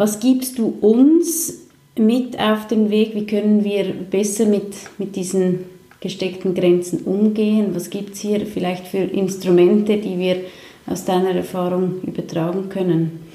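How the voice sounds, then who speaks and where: Speech at a fairly slow pace, with ordinary pitch variation, comes through audible room echo and noticeable background noise. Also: woman, medium pitch for a woman. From Switzerland. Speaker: talk show host. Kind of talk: interview.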